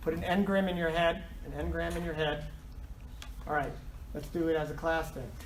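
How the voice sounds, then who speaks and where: The speech moves at a fairly quick pace, broken by long, frequent pauses. Noticeable background noise runs underneath. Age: 70s. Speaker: professor. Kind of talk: lecture. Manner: animated.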